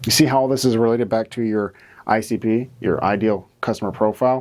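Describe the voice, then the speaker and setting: A man talks quietly. His tone is dark and mellow. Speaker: marketing educator. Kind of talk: tutorial. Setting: studio. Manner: somewhat quiet; casual, filler-heavy.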